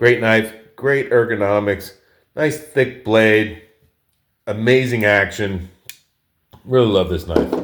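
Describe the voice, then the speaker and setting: With an American accent, a man at medium pitch talks very slowly with long, frequent pauses and ordinary pitch variation. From New York. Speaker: knife collector, video creator. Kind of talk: casual show-and-tell. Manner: casual, with fillers and restarts.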